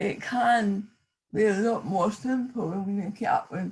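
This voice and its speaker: A woman's somewhat breathy voice at medium pitch. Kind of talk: panel discussion.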